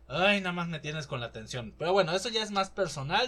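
A man speaks with a fairly high pitch. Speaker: podcast host. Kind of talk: casual solo commentary.

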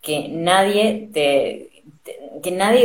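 Her intonation is lively. This woman speaks at a fairly low pitch. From Argentina. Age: 30s. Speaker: dancer. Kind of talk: interview.

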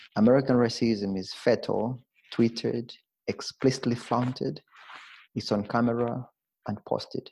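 A man's dark, mellow tone with vocal fry and fairly even intonation, at a moderate pace with long, frequent pauses. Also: medium pitch for a man. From Zambia. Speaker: theater artist. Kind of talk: interview conversation. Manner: halting, repeats words.

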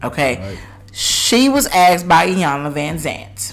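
A woman's fairly low voice with very wide pitch swings, audible room echo, and noticeable background noise. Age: 30s. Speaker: podcast host. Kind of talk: casual chat; scripted outro.

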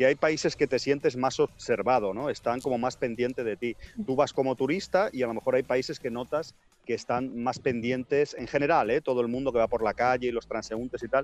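A man speaks at a medium pitch and fairly quick pace, his intonation fairly even. Music plays in the background, and the sound is dry and close with no echo. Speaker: podcaster. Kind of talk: casual chat.

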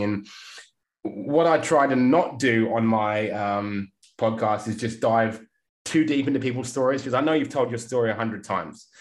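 This man speaks with an English accent. His pitch varies in an ordinary way. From England. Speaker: podcast host. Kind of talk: interview. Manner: animated.

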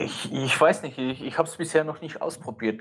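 Through noticeable background noise, a man talks at a fairly quick pace with fairly even intonation. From Switzerland. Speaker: film photographer and YouTuber. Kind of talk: casual chat.

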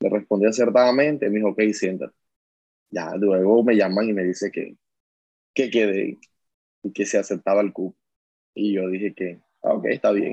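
A man with a dark, mellow tone and fairly low pitch speaks at a moderate pace with fairly even intonation and long, frequent pauses, recorded dry and close with no echo. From Colombian Caribbean coast, La Guajira / Barranquilla. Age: 30s. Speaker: coal miner and trade unionist. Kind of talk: interview testimony. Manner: hesitant, with fillers.

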